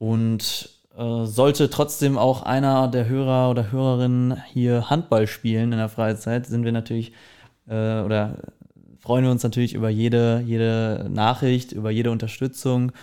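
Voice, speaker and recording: A man speaks with a dark, mellow tone at a medium pitch and moderate pace, his intonation flat and monotone. The recording is very clean with a silent background. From East Westphalia, Germany (Herford). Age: 20s. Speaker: startup founder. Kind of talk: podcast interview. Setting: studio room with blankets to dampen echo.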